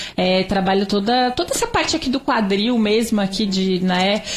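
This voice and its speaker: Over noticeable background noise, a woman speaks in a medium pitch. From Brazil, Santa Catarina. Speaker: triathlete and physical education professional. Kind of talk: interview.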